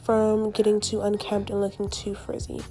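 A woman with a fairly high pitch speaks over music in the background. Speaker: hair tutorial creator. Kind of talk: hair tutorial talk to camera.

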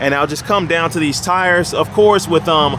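Dry with no echo, the voice runs at a fairly quick pace with ordinary pitch variation and noticeable background noise. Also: man. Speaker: car salesman. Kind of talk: sales walkaround commentary. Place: street. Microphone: phone near.

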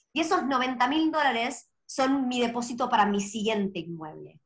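A woman with an Argentine accent speaks at a fairly slow pace, her pitch high. Her intonation is lively, and the background is quiet. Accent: Argentine Spanish (voseo). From Argentina. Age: 30s. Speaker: property investor; guest. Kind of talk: interview. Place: home room. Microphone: video call.

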